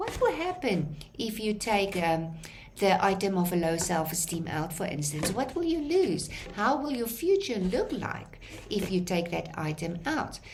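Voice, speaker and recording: Lively intonation from a woman at a fairly slow pace, with noticeable background noise and audible room echo. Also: medium pitch for a woman. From South Africa. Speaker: lecturer. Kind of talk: lecture. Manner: halting.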